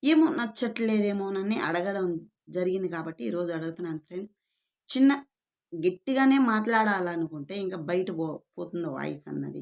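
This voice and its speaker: Lively intonation runs through a woman's medium-pitched voice. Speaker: YouTube vlogger. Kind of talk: casual monologue to camera. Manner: soft-spoken.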